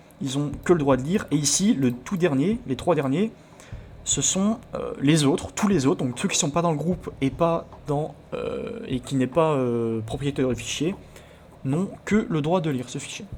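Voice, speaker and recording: Amid noticeable background noise, a man with fairly high pitch speaks at a fairly slow pace with lively intonation. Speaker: let's play video creator about hacking games. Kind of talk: let's play commentary with tutorial explanations. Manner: stumbling over words, many hesitations.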